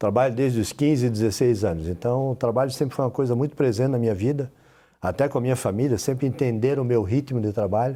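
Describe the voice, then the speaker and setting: A man talks very fast in a dark, mellow, medium-pitched voice with ordinary pitch variation and very even loudness. The recording is very clean, with a silent background. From Brazil, Florianópolis (Santa Catarina). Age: 60s. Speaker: mayor. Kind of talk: TV interview.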